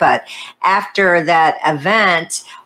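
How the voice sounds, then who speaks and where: A woman is talking. Her accent is American. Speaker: podcast host. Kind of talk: casual interview. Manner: upbeat, chatty.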